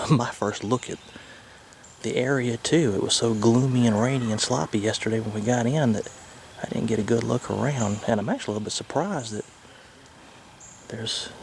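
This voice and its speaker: Quiet and at a moderate pace, a man speaks over noticeable background noise. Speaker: RV travel vlogger. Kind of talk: casual vlog.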